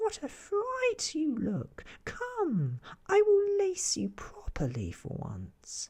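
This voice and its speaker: Putting on a character voice, a man speaks very slowly at an extremely high pitch. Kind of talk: bedtime story. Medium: read story.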